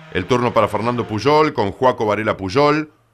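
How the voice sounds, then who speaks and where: In a very clean recording with a silent background, a man with a medium pitch talks at a fairly quick pace in a confident tone, with ordinary pitch variation. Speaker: motorsport TV presenter and rally commentator. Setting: studio. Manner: fluent, brisk, animated play-by-play delivery; rattles off split times and driver names with quick confident emphasis.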